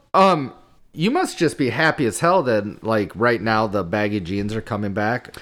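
Using a normal speaking voice, a man talks at a moderate pace with medium pitch and lively intonation. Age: 30s. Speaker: podcast co-host. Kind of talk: casual chat.

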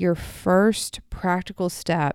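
A woman with a fairly low pitch and an American accent, dry and close with no echo, on a very clean recording with a silent background. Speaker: therapist and podcast host. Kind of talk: casual solo podcast monologue. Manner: audible sighs.

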